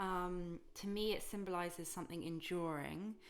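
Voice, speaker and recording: At a fairly slow pace, an unremarkable speaking voice carries fairly even intonation. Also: woman. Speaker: tarot reader. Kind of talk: tarot reading to camera. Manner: calm.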